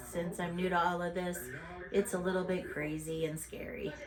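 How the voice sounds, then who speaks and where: Noticeable background noise and audible room echo surround a woman with a fairly low pitch. She talks at a moderate pace with monotone, flat intonation. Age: 60s. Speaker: YouTuber, mother. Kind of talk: casual home vlog. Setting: at home.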